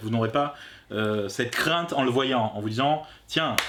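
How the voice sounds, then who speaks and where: A man at a medium pitch talks at a very slow pace with ordinary pitch variation, noticeable background noise behind him. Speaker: film review youtuber. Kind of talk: casual film review chat. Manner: halting.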